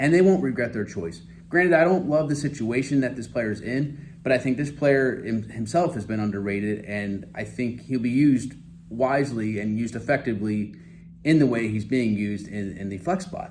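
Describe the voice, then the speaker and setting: A man speaks at a moderate pace with lively intonation, audible room echo around him. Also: medium pitch for a man. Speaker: fantasy football commentator. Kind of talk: casual monologue video. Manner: halting, stammering.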